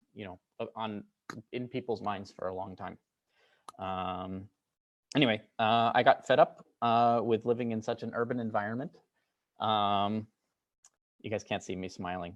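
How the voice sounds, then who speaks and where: A man with an American accent, fairly low in pitch, at a moderate pace with fairly even intonation and long, frequent pauses, against a quiet background. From United States (moved around). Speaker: computer science researcher. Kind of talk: lecture. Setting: lab talk with audience. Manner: many filler words (um, uh).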